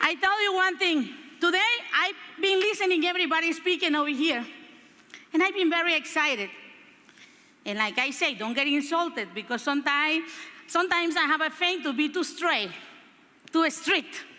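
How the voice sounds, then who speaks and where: With a Spanish accent, a woman uses a raised, projected voice at an extremely high pitch and lively intonation, speaking at a moderate pace with long, frequent pauses. Noticeable background noise is present. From Honduras. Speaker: motivational speaker and politician. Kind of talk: motivational speech. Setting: stage with audience. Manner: animated.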